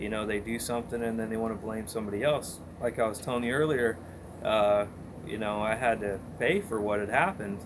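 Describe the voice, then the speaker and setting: A man with a medium pitch talks amid audible room echo. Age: young. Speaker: interviewee sharing drunk driving story. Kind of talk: interview testimony.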